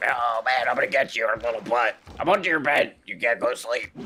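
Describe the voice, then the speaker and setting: A man puts on a character voice and talks at a fairly quick pace. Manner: menacing, teasing.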